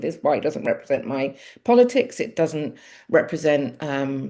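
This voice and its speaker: Her pitch fairly low, a woman talks with very wide pitch swings against a quiet background. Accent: Mancunian. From Manchester, England. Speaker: local politician. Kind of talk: interview. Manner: halting.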